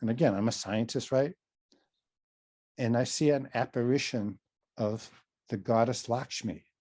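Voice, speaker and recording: Over a quiet background, a man with a dark, mellow tone speaks at a moderate pace and medium pitch, with ordinary pitch variation. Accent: Boston. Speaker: psychotherapist and mindfulness trainer. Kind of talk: casual interview conversation.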